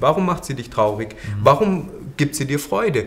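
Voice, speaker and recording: A man with very wide pitch swings at a fairly quick pace. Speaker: yoga teacher. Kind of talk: podcast interview.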